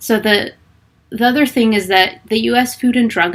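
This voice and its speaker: Ordinary pitch variation, medium pitch and a moderate pace from a woman with an unremarkable speaking voice. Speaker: fitness and nutrition coach. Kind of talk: live Q&A stream. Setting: livestream.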